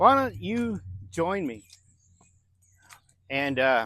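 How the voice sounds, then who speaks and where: A man at a fairly high pitch, speaking at a very slow pace. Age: 60s. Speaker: recovering gambler vlogger. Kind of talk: personal testimony vlog. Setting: outdoors, walking. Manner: casual, conversational.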